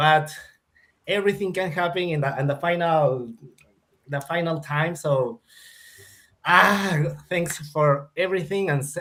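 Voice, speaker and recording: A man with a Spanish accent speaks at a fairly slow pace with long, frequent pauses. His fairly high voice has a bright, sharp tone and ordinary pitch variation. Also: very clean recording, silent background. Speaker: crypto trader streamer. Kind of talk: casual chat. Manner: halting.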